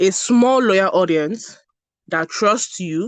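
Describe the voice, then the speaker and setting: Against a quiet background, a woman speaks with a Nigerian accent. Her pitch varies in an ordinary way. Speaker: brand strategist. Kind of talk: online masterclass talk.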